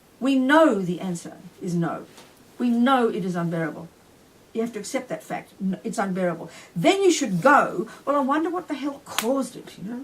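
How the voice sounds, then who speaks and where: A woman with an Australian accent and a fairly high pitch speaks with very wide pitch swings and big swings in loudness, over noticeable background noise. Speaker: Buddhist nun and teacher. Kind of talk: dharma teaching. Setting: retreat talk with audience. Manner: fast; animated.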